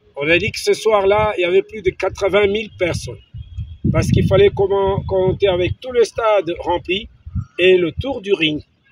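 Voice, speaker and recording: This man has a high pitch, ordinary pitch variation and a fairly slow pace. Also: long, frequent pauses. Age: 70s. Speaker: sports journalist. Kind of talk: interview testimony.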